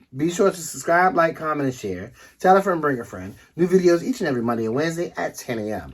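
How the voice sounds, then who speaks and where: The voice races at a very fast pace with very wide pitch swings, recorded very cleanly against a silent background. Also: man, fairly high pitch for a man. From Washington DC area. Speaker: couple vlogger, travel channel co-host. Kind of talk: casual chat.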